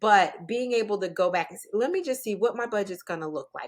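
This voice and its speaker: Ordinary pitch variation marks this woman's unremarkable speaking voice, set at a medium pitch. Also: very clean recording, silent background. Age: 60s. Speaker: divorce and financial coach, author. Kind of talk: podcast interview.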